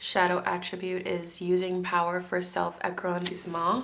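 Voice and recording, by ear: A woman puts on a raspy character voice at a medium pitch. Her delivery is monotone and flat, at a moderate pace.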